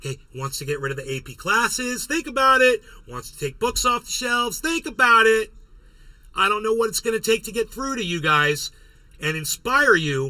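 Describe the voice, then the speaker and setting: Projecting a raised voice, a man speaks at a high pitch in a bright, sharp tone with very wide pitch swings. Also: moderate pace. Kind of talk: political commentary livestream. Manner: casual, rambling.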